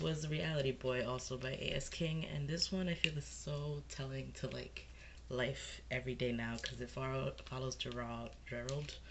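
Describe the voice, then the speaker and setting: Moderate pace amid noticeable background noise. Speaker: book reviewer. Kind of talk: casual talk to camera. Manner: casual, rambling.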